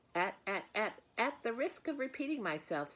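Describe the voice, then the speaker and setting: A woman's put-on character voice with very wide pitch swings. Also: fairly high pitch for a woman, moderate pace. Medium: read story. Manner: fast, repeats phrases.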